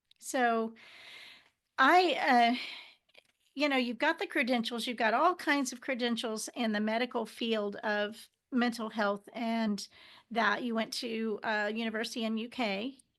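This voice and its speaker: A woman with a Texan accent, fairly high-pitched, fairly slow, with ordinary pitch variation and long, frequent pauses against a quiet background. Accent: Texan American. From Texas, Houston area. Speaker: talk show host. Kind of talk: interview. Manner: halting.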